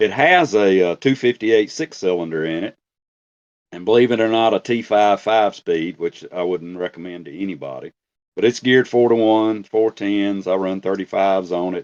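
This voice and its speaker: Against a quiet background, a man with an unremarkable speaking voice talks at a moderate pace, fairly low in pitch, with ordinary pitch variation. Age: 60s. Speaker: off-road Jeep enthusiast. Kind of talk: casual chat. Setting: podcast recording.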